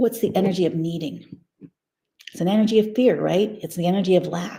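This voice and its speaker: A woman's fairly low-pitched voice carries a dark, mellow tone and sounds somewhat breathy. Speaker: spiritual teacher. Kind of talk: live stream teaching. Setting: live stream with headphones. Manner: fast; animated.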